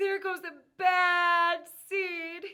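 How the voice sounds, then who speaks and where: A woman does a put-on character voice at an extremely high pitch, her intonation monotone and flat. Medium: read story. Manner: fearful.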